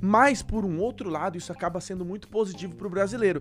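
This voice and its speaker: A man with a high pitch talks at a very fast pace. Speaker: podcast host. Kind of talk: casual interview chat. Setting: studio.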